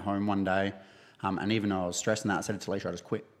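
A man speaks in a fairly low, monotone voice with an Australian accent against a quiet background. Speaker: gym owner. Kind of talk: casual interview.

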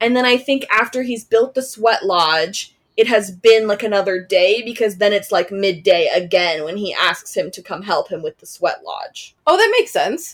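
A woman speaks in an ordinary speaking voice, fairly high-pitched, with lively intonation and big swings in loudness. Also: moderate pace, hardly any pauses. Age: 20s. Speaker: podcast host. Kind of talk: casual chat.

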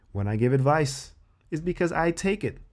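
Lively intonation and an animated tone mark this man's speech. It is a very clean recording with a silent background. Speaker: self-help vlogger. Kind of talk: angry rant. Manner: animated, worked-up, heavily profane; casual, emphatic, repeats key phrases.

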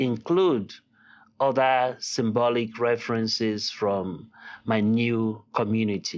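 A man talks at a very slow pace. His pitch is medium, with ordinary pitch variation. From Nigeria (Lagos). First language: Yoruba. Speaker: artist and art professor. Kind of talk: interview. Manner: halting, many fillers.

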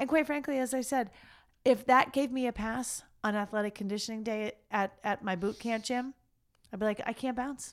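A woman speaks in a normal speaking voice, fairly high in pitch, at a moderate pace with fairly even intonation. The recording is very clean, with a silent background. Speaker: podcast co-host. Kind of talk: casual chat.

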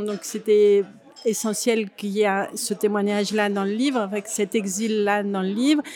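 A woman with a medium pitch speaks fairly slowly and in a monotone, flat way, with noticeable background noise behind her. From France, Grenoble. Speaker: actress and author. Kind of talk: interview. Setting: café.

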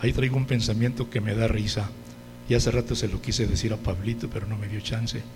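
With audible room echo and noticeable background noise, a man with a Mexican accent speaks at medium pitch and a very fast pace. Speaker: preacher. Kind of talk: sermon. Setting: church. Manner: animated.

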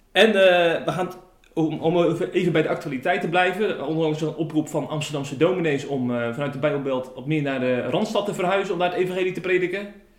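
Noticeable background noise and audible room echo surround a man with a fairly high voice. He talks fairly quickly, with ordinary pitch variation. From Zeeland, Tholen. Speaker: podcast host. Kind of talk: interview. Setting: at the pastor's home.

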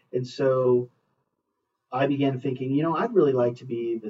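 This man has an American accent and a medium pitch. His voice is somewhat breathy, with ordinary pitch variation. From US West Coast, Los Angeles area. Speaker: school superintendent. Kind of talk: interview. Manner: frequent fillers and self-repetition.

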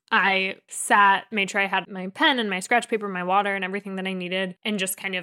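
In a very clean recording with a silent background, a woman with an American accent speaks at a moderate pace and medium pitch in a bright, sharp tone. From US Northeast, North Jersey. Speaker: test-prep tutor. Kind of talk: interview.

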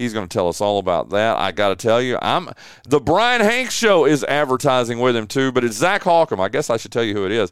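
A man with a Southern US accent, medium-pitched with very wide pitch swings, at a fairly quick pace on a very clean recording with a silent background. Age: 50s. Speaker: sports talk show host. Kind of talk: casual sports talk.

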